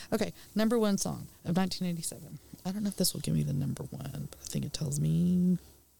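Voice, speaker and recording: A woman's voice with big swings in loudness amid noticeable background noise. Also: fairly quick pace. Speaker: guest co-host. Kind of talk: casual radio banter. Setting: studio. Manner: lively.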